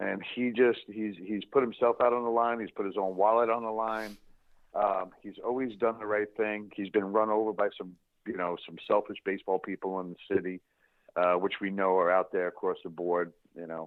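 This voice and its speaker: A fairly low-pitched man with a New York accent, fairly even intonation and a moderate pace. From Eastern Long Island, New York. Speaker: former major league baseball player, youth baseball foundation leader. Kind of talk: podcast interview.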